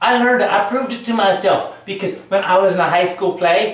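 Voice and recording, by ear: Strong room echo surrounds a fairly bright tone delivered at a moderate pace with ordinary pitch variation. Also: man, high pitch for a man.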